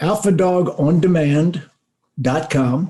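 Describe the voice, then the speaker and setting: The tone is dark and mellow, somewhat breathy. Pitch varies in an ordinary way. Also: man. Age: 70s. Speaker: auto industry consultant and speaker. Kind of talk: interview.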